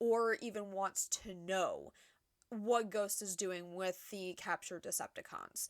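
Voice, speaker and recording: A woman speaks at a fairly slow pace, her pitch medium. Her intonation is flat and monotone, in a dry, close sound with no echo. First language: not English. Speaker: YouTube reviewer. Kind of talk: casual review commentary. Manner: halting, many repetitions and restarts.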